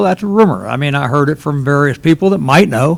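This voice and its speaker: A man with a Southern US accent, fairly high pitch and lively intonation. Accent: southern drawl. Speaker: local businessman, public commenter. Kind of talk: public comment at town council meeting.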